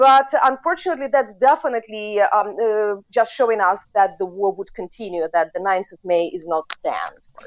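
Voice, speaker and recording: The speaker has a Ukrainian accent and lively intonation at a moderate pace. Loudness swings a lot. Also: woman. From Ukraine. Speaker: foreign policy expert. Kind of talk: interview. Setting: remote call.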